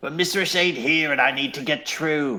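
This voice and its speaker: This is a put-on character voice, raspy and fairly high-pitched for a man. He speaks at a moderate pace. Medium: actual play. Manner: brash, crude, bluffing.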